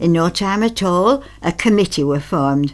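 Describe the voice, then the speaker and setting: A woman with a Lancashire accent speaks at a fairly slow pace with lively intonation. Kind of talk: dialect poetry reading.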